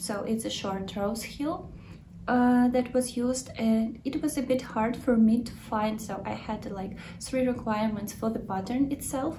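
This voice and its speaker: A woman with a Ukrainian accent speaks at a fairly high pitch with fairly even intonation. Noticeable background noise and audible room echo accompany her. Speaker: knitting podcaster. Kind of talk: casual video podcast talk. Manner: halting, with many fillers.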